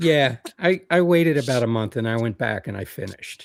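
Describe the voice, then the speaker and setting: A man at a moderate pace with ordinary pitch variation, dry, close sound with no echo, and a very clean recording with a silent background. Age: 60s. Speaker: hiker and author. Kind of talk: casual chat. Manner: halting, many fillers.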